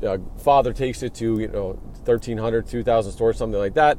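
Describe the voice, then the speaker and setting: A man at medium pitch and very fast pace, with noticeable background noise. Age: 30s. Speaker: podcast host and clinic owner. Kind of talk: solo podcast monologue. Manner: casual with frequent fillers.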